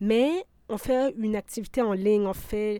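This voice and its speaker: A dark, mellow voice at a very slow pace with fairly even intonation, on a very clean recording with a silent background. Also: woman. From Quebec (Abitibi, Bas-Saint-Laurent). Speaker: sound artist and curator. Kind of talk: interview.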